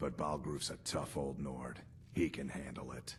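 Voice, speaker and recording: Putting on a raspy character voice, a man speaks at a moderate pace in a very deep, low pitch, with clear background noise. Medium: video game. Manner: blunt, hearty.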